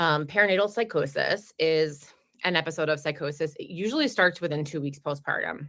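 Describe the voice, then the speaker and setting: A woman talks in a New Jersey accent with a very deep, low pitch. Her pace is fairly quick and her pitch variation ordinary. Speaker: perinatal mental health clinic director. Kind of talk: educational webinar talk. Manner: fast.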